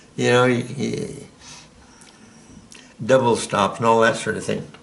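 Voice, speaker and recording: In an American accent, a man speaks at a fairly slow pace and medium pitch with fairly even intonation and audible room echo. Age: 80s+. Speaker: piano teacher. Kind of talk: tutorial. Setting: at the piano. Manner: halting.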